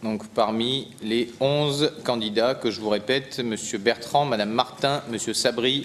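A man speaks fairly slowly, his intonation fairly even, with light noise behind him. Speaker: mayor chairing city council. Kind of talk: council meeting chairing. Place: hall. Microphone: podium.

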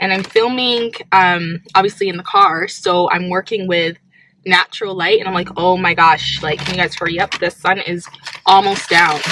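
The speech comes at a moderate pace with fairly even intonation, dry with no echo, over light background noise. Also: woman. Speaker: vlogger. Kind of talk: casual vlog chat. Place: car. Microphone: phone near.

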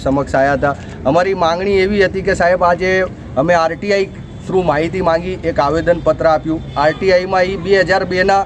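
Noticeable background noise sits behind a man with a high pitch, fairly even intonation and very even loudness. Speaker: local party representative. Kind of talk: press statement to reporter. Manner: formal.

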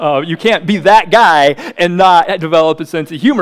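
Against a quiet background, a man with an American accent talks at a moderate pace with very wide pitch swings. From US Midwest, South Dakota. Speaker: pastor. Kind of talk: sermon. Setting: church. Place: church. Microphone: headset.

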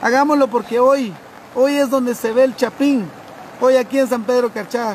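A man talks at a moderate pace with an extremely high pitch and ordinary pitch variation. The sound is dry with no echo, over light background noise. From Guatemala, Cobán. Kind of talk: emergency appeal. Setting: outdoors. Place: street.

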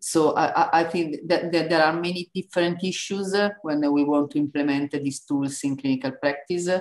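A woman with an Italian accent speaks in a very deep, low pitch and fairly even intonation. The background is quiet. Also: moderate pace. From Italy. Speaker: neuroimaging researcher. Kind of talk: lecture. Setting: online webinar. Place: home room. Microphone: video call.

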